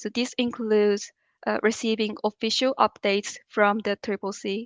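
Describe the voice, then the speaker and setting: At a moderate pace, a normal speaking voice carries fairly even intonation in a dry, close sound with no echo and a quiet background. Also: woman. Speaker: climate policy official. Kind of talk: training presentation.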